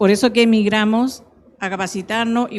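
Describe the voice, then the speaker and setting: A woman's fairly high pitch with fairly even intonation, a normal speaking voice. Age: 60s. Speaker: entrepreneur, audience member. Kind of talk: audience question. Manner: quiet.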